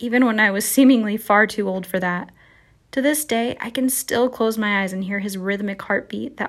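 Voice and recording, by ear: The pitch moves in an ordinary way. This is reading aloud in a natural voice.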